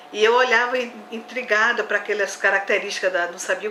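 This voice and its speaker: Speaking at a very fast pace, a woman with a fairly high pitch and fairly even intonation is heard with audible room echo and noticeable background noise. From Brazil, Olinda, Pernambuco. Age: 60s. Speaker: botanist. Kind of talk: interview.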